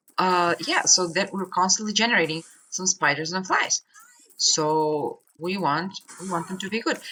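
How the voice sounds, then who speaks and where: The speech comes at a moderate pace. The words are mumbled. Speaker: gaming YouTuber. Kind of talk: gameplay commentary. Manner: mumbling.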